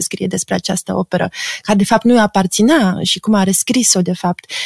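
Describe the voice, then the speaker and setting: The woman's voice is somewhat breathy, with ordinary pitch variation at a moderate pace. The sound is dry and close, with no echo. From Romania. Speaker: psychoanalyst and art critic. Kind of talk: interview.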